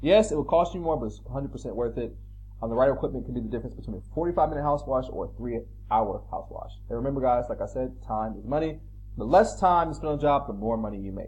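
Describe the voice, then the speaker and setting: In a room with audible echo, a man talks at a very fast pace, his loudness swinging widely. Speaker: pressure washing business owner and YouTube trainer. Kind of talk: tutorial. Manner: casual, conversational with fillers.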